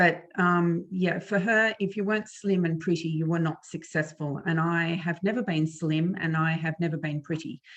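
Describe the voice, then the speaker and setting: A woman talks in an Australian accent at a fairly low pitch. Her pace is moderate, with hardly any pauses and fairly even intonation. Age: 50s. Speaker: author and former flutist. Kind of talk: interview about eating disorder recovery. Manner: hesitant, many fillers.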